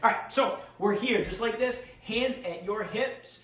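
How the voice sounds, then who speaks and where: A man keeps a moderate pace, his voice carrying audible room echo amid noticeable background noise. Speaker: karate instructor. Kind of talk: tutorial. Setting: home basement.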